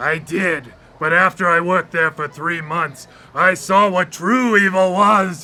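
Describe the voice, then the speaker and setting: Here a man puts on a character voice with a high pitch. He speaks at a fairly slow pace. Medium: audio drama. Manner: dry, sarcastic.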